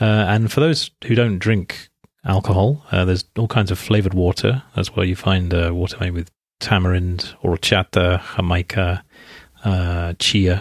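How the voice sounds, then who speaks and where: With an English accent, a man speaks at a moderate pace in a very deep, low pitch and fairly even intonation, recorded very cleanly against a silent background with a dry, close sound and no echo. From England. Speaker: podcast host, English teacher and translator. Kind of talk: scripted narration. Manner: hesitant, many fillers.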